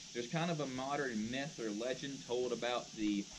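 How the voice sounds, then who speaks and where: Noticeable background noise sits under the speech. The delivery moves at a fairly quick pace. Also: man. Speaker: park ranger tour guide. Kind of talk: guided tour talk. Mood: friendly, lightly humorous. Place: forest. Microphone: camera far.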